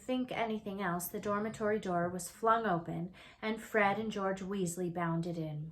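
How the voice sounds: A natural reading voice with ordinary pitch variation carries through this clip.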